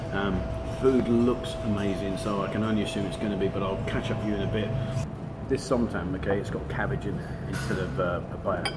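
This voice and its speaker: Over loud background noise, a man speaks at a fairly quick pace with ordinary pitch variation. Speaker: food vlogger. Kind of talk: casual vlog chat. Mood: upbeat, enthusiastic. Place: cafe. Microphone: phone near.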